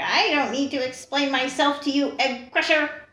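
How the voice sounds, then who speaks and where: A put-on character voice goes at a moderate pace, with hissing and a slight echo. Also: female-sounding voice, high pitch for a woman. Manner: hissing, defiant.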